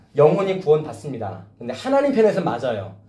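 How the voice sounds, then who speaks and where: Audible room echo carries a man's voice as it moves in very wide pitch swings. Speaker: pastor. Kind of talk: sermon. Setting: church youth service with two students. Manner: loud.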